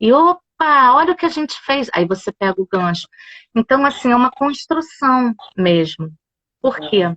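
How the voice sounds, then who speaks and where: Bright and sharp in tone, a woman talks at a high pitch with very wide pitch swings. Her pace is fairly slow, and the sound is dry and close with no echo. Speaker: yoga instructor. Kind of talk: casual chat. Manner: animated. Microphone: phone.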